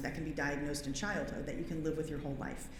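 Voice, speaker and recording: A woman's voice comes through with audible room echo and noticeable background noise around it. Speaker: pediatric hematologist. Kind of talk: conference talk. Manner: fast.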